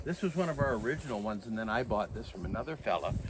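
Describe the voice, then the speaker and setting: In a Canadian prairie accent, a man talks at a very fast pace with lively intonation. Noticeable background noise is present. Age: 70s. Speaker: farmer. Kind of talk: casual chat. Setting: outdoors.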